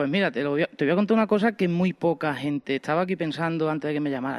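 An unremarkable speaking voice with lively intonation and a dry, close sound with no echo. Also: man. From Andalusia, Spain (Estepa, Seville province). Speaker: podcaster and printer. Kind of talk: interview.

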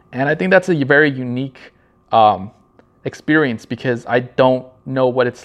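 Ordinary pitch variation in a Southern Californian accent. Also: man. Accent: Southern California American. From Los Angeles County, California. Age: 30s. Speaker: podcast host, marketing creative. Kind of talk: solo podcast intro, casual monologue. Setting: home, video recording in a high-rise condo. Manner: somewhat nervous.

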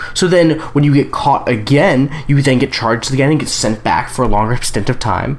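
Background noise is noticeable. The pace is fairly quick. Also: hardly any pauses. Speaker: podcast co-host. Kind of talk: casual political chat.

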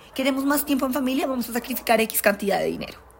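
A woman's high-pitched voice at a very fast pace, over noticeable background noise. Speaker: podcast host. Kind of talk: casual monologue. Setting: recording away from studio. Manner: blunt.

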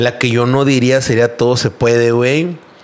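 Noticeable background noise runs under this recording. A man talks at a medium pitch. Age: 30s. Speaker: graphic designer and entrepreneur. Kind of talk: casual chat.

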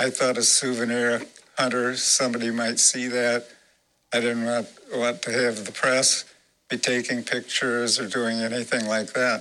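A man with an American accent, medium pitch and monotone, flat intonation. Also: moderate pace. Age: 80s+. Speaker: former secret service agent. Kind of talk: interview testimony. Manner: halting.

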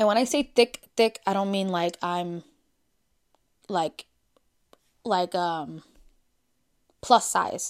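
A woman with an American accent at a medium pitch, very slow and broken by long, frequent pauses, with ordinary pitch variation, in a very clean, silent-background recording with a dry, close, echo-free sound. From Brooklyn, New York. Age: 30s. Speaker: podcast host. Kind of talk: casual solo chat.

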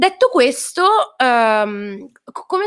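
The speaker is a woman. Her recording is very clean, set against a silent background. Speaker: singer-songwriter. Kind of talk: interview. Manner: talkative.

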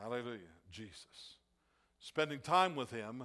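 Speaking in an American accent at a fairly slow pace, a man has a bright, sharp tone. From US Midwest (Ohio farm). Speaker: pastor. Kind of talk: sermon. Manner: halting, many repetitions and fillers.

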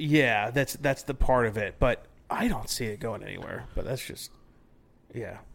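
Speaking at a moderate pace and a medium pitch, a man shows ordinary pitch variation, vocal fry and big swings in loudness. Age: 30s. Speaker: brewing podcast host. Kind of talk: casual chat.

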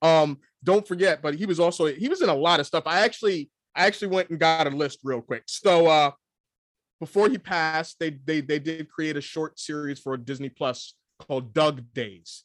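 A man talks at a moderate pace in an unremarkable speaking voice, with fairly high pitch and ordinary pitch variation. The sound is dry and close, with no echo. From New York, US. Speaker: podcast co-host. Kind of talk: casual chat. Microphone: new microphone instead of camera mic.

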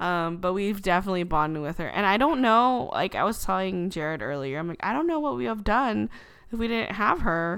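Her pitch swings very widely. The woman speaks at a fairly quick pace. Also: medium pitch for a woman. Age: 20s. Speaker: podcast co-host. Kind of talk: casual chat.

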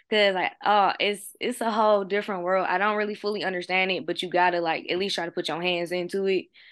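The delivery comes at a very fast pace with hardly any pauses. The intonation stays fairly even. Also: woman, medium pitch for a woman. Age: 20s. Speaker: podcast host. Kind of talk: casual chat.

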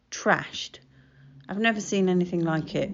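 A medium-pitched woman in an Estuary English accent. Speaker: solo podcaster. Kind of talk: casual solo monologue. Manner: laughs often.

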